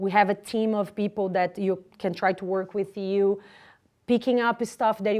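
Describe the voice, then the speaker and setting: A woman talks at a medium pitch with a non-native accent. The background is quiet. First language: Portuguese. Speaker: spiritist lecturer. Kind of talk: community announcements. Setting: live-streamed talk with audience. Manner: halting.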